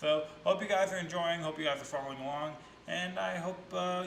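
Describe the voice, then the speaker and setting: With audible room echo and noticeable background noise, a man speaks at a fairly quick pace in a fairly high pitch. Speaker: reaction video host. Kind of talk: casual reaction commentary.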